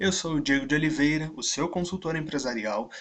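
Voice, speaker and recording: At a moderate pace, a man talks in an unremarkable speaking voice pitched fairly high. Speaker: business consultant, online instructor. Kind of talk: video lecture.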